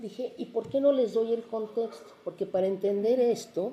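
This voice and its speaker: A woman speaks in a dark, mellow tone with a fairly high pitch. Her pace is fairly slow. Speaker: literary translator and professor emerita. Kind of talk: panel talk about translation. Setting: university event with live audience. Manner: animated.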